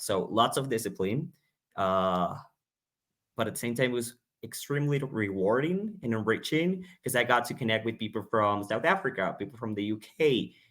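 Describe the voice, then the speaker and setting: A man with a Spanish accent speaks at a moderate pace and medium pitch. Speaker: English teacher. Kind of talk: panel discussion.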